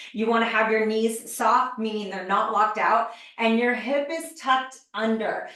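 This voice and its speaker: Noticeable background noise and audible room echo around a woman's moderately paced speech. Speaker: fitness trainer. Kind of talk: online masterclass presentation.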